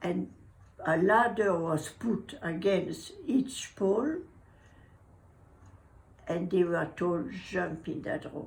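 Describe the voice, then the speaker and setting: A woman's medium-pitched, somewhat breathy voice with lively intonation, at a very slow pace with long, frequent pauses. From Brittany, France. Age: 80s+. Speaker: war survivor. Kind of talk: interview answer.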